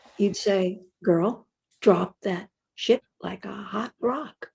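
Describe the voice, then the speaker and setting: Ordinary pitch variation in a dry, close sound with no echo. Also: woman. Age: 80s+. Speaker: cookbook author. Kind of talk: interview answer.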